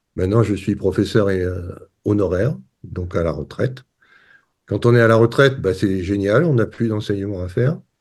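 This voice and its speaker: A man with a fairly low pitch and ordinary pitch variation talks at a moderate pace, leaving long, frequent pauses. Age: 60s. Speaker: retired professor, water scientist. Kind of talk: interview.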